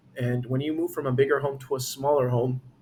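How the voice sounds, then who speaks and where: A somewhat breathy man talks at a fairly quick pace and a fairly high pitch. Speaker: real estate agent. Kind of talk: market update talk to camera. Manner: halting, self-correcting; casual, conversational.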